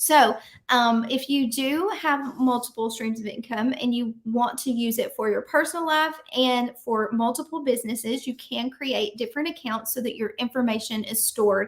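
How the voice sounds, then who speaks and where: A Southern accent at a moderate pace, with ordinary pitch variation. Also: woman. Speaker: business coach. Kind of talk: tutorial. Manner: casual, with frequent fillers.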